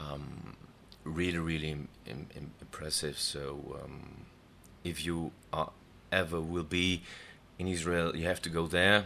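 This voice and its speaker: In a German accent, a man talks at a fairly slow pace with long, frequent pauses. His pitch is very deep and low, his tone bright and sharp, and his intonation fairly even. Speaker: singer. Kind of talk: casual chat. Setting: studio. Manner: halting.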